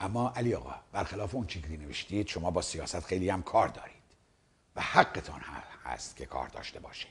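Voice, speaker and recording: Speaking at a fairly quick pace, a man uses a very deep, low pitch with vocal fry, lively intonation and big swings in loudness. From Iran. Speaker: video commentator. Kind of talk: monologue replying to a viewer letter. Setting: seated in front of a camera. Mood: serious, argumentative. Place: studio. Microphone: lapel.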